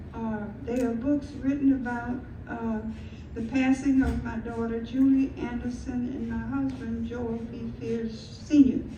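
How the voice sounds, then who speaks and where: Over noticeable background noise and audible room echo, a woman talks at a fairly slow pace with big swings in loudness. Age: 90s. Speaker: retired school media specialist and storyteller. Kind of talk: storytelling talk at a community event. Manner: halting, with fillers and repeats.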